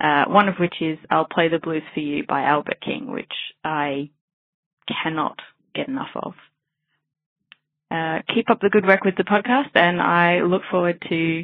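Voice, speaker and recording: A woman with an Australian accent, fairly low in pitch, at a moderate pace with lively intonation and long, frequent pauses. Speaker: blues dance DJ, listener. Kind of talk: voicemail message. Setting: phone message.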